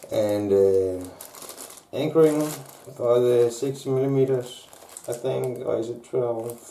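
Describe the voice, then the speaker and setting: A man at a very slow pace with long, frequent pauses, over noticeable background noise and audible room echo. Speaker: maker unboxing 3D printer parts. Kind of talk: unboxing video. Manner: halting.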